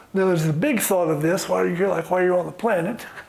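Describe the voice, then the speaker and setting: Noticeable background noise and audible room echo surround the speaker. A man talks at a very fast pace with a high pitch. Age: 70s. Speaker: workshop facilitator. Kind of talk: guided group exercise. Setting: conference room with audience.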